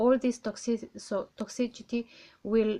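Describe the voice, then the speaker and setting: A woman speaks with a non-native accent at a very slow pace. Her pitch is fairly high. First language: not English. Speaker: tarot reader. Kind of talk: tarot reading. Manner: halting.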